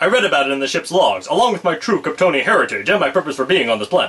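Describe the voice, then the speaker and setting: Putting on a character voice, a man talks very fast at a high pitch. His pitch swings very widely. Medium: solo performance. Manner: flat, casual.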